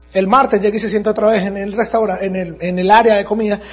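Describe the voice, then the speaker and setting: A man speaks with a high pitch and an animated tone. His pitch varies in an ordinary way. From Venezuela, Andes region. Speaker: network marketing business speaker. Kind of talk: motivational talk. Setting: stage with audience.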